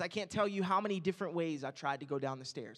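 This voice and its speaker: The tone is animated. Intonation is lively. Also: man, quiet background. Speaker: youth pastor. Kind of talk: sermon. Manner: halting. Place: church. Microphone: handheld.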